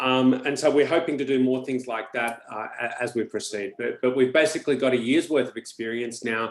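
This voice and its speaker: A man with an Australian accent, medium pitch, fairly even intonation, hardly any pauses, a fairly quick pace and noticeable background noise. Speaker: economist, webinar host. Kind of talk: webinar introduction. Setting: online webinar.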